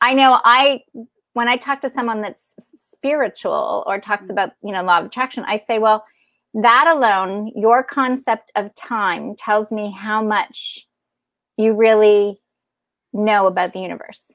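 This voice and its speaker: A woman speaks with a normal speaking voice at a fairly high pitch. Her pitch varies in an ordinary way. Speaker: podcast host. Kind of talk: casual interview chat. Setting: video call, remote guest.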